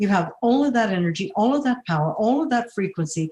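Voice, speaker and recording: A woman speaks at a fairly quick pace, somewhat breathy. Her pitch swings very widely. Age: 60s. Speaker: near-death experience survivor. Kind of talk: podcast interview.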